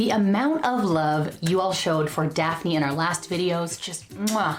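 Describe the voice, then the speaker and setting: Music plays in the background as a woman with a fairly low pitch and ordinary pitch variation talks in an energetic tone at a fairly slow pace. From Filipino American. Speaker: YouTube personal finance host. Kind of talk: scripted narration. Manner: energetic, hyped.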